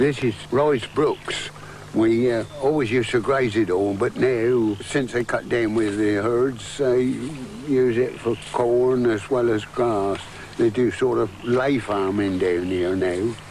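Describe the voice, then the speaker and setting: With noticeable background noise present, a man speaks very slowly at a medium pitch, with ordinary pitch variation and very even loudness. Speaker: farmer and hedgelayer. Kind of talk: casual talk to camera.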